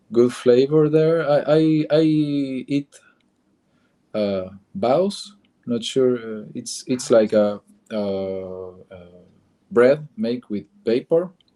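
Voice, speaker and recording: With an Argentine accent, a man of medium pitch and a dark, mellow tone speaks at a very slow pace, with lively intonation, big swings in loudness, and long, frequent pauses. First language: Spanish. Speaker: comic book artist. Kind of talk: interview. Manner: halting.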